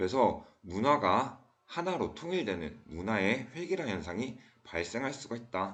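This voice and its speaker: A man at medium pitch with a Daegu accent, very wide pitch swings, a fairly slow pace and audible room echo. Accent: Gyeongsang (Daegu) dialect, uses it a lot. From South Korea, Daegu. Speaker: school teacher. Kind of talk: lecture.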